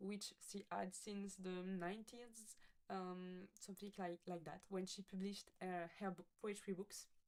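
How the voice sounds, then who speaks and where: A woman speaks at a medium pitch. She has a French accent. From France. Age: 20s. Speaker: coding student. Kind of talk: project presentation with screen demo. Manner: halting, many fillers and self-corrections.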